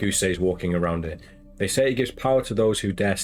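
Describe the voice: Plain reading aloud is all that happens. Nothing more than words read from a page.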